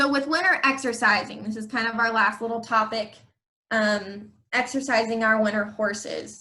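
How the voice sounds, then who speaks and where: Speaking at a fairly slow pace, a woman with a fairly high pitch has a bright, sharp tone and ordinary pitch variation. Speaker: equine nutrition specialist. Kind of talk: educational presentation. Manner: frequent filler ums.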